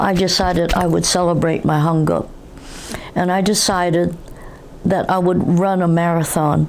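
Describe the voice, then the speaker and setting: A woman with an American accent, fairly low in pitch, with monotone, flat intonation, very even loudness and long, frequent pauses, amid noticeable background noise and audible room echo. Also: moderate pace. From New York City. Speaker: interviewee, third-generation Korean American. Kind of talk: oral history interview. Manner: halting.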